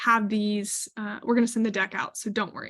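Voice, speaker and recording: This woman's voice has a bright, sharp tone and sits fairly high. Her intonation stays monotone and flat. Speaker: webinar presenter on retail supplier topics. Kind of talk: webinar presentation.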